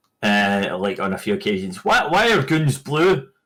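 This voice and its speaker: This man's delivery is fairly slow. Up and down his pitch leaps, very widely. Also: very clean recording, silent background. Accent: Scottish. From Scotland. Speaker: podcast co-host. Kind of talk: casual chat.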